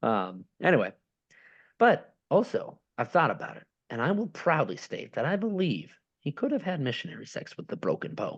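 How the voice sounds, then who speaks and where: A man talks at a fairly quick pace, with a quiet background behind him. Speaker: podcast host. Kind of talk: casual chat. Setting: home, downstairs.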